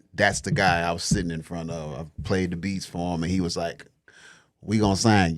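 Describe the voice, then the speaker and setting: A man's very deep, low voice with fairly even intonation, in a very clean recording against a silent background. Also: fairly quick pace. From Detroit, US Midwest. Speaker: rapper and studio owner. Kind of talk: casual interview chat.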